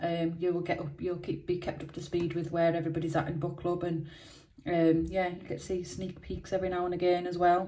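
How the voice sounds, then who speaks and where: A fairly quick, fairly low-pitched woman's voice, dark and mellow in tone, with monotone, flat intonation. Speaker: scratch card video host. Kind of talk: casual vlog chat. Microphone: phone near.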